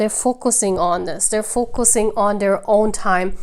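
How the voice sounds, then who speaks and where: A woman talks at a moderate pace and a fairly high pitch. Her pitch variation is ordinary. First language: non-native English speaker. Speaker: tarot reader. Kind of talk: tarot reading to camera.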